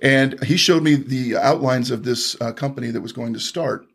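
A man's voice with vocal fry and ordinary pitch variation. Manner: animated, punchy, brash salesman patter with emphatic repetition.

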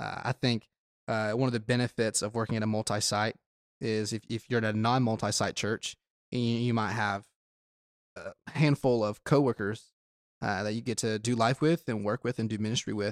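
A man speaks at a moderate pace on a very clean recording with a silent background. The sound is dry and close, with no echo. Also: medium pitch for a man. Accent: slight Southern US. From South Georgia. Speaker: student pastor. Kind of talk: casual chat. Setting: studio. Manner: energetic when fired up.

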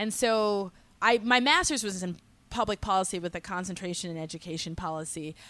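Her loudness swinging widely, a woman with an American accent speaks in a bright, sharp tone with ordinary pitch variation, in a very clean recording with a silent background. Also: medium pitch for a woman, fairly quick pace. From Massachusetts, small town north of Boston. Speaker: social entrepreneur, education nonprofit director. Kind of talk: casual interview.

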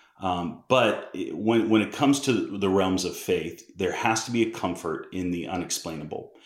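Someone speaks in an American accent at a moderate pace with hardly any pauses, and audible room echo surrounds the voice. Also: man. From US Northeast (Massachusetts). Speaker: missionary. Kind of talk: casual interview.

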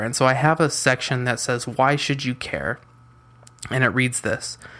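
This man has a bright, sharp tone and a medium pitch, with an American accent. He talks at a moderate pace. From US West Coast (San Diego, California). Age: 20s. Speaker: podcast host, freelance web designer. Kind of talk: solo podcast monologue.

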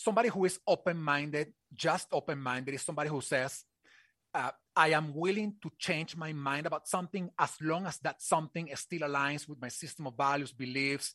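This man's fairly high, bright and sharp voice moves at a fairly quick pace with ordinary pitch variation, recorded dry and close with no echo against a quiet background. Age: 40s. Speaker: HR tech expert and community founder. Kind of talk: interview.

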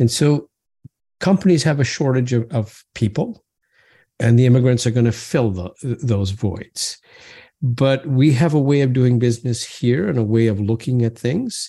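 A man's somewhat breathy, medium-pitched voice in a dark, mellow tone, quiet background. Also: ordinary pitch variation, moderate pace. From moved between Canada, Brazil and England as a child. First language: not English. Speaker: business professor. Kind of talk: interview. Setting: podcast interview.

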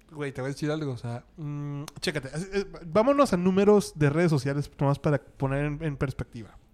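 A man's voice, fairly high in pitch with ordinary pitch variation, moves along at a fairly quick pace. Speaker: podcast host. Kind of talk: casual chat.

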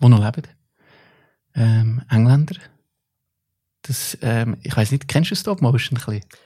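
A man with a medium-pitched, dark, mellow and somewhat breathy voice speaks at a fairly slow pace with ordinary pitch variation and long, frequent pauses. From Central Switzerland, Stans (Nidwalden). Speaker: artist and musician. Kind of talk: casual chat.

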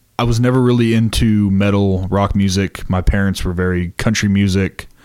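With fairly even intonation and a fairly low pitch, a man talks in a normal speaking voice. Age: 20s. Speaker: pyrotechnics crew member for a touring rock band. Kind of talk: casual interview chat.

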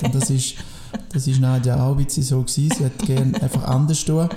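A man's fairly high voice at a fairly quick pace, very even in loudness, with ordinary pitch variation and noticeable background noise. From Biel, Switzerland (French-speaking). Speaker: sports teacher and coach. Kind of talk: casual chat. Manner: halting.

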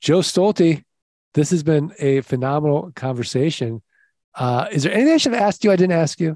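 Fairly high-pitched for a man yet dark and mellow in tone, this man with a Midwestern US accent speaks at a fairly quick pace with lively intonation and very even loudness, the sound dry and close with no echo over a quiet background. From US Midwest. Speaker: podcast host. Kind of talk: casual interview chat. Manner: upbeat and animated.

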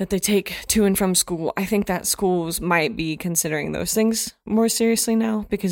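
A woman speaks in an ordinary speaking voice. Her pitch varies in an ordinary way. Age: 30s. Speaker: high school English teacher. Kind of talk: casual chat.

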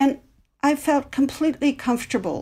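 With an American accent, a woman speaks at a moderate pace and sounds somewhat breathy. The recording is very clean, with a silent background. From US Midwest. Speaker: anthropology professor and author. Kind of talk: interview.

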